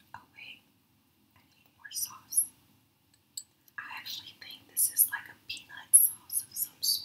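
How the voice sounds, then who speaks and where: The voice is whispering at a fairly slow pace, with long, frequent pauses. Its loudness takes big swings. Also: woman. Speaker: ASMR mukbang creator. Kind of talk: ASMR eating video talk. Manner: whispered. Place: home room. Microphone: studio mic.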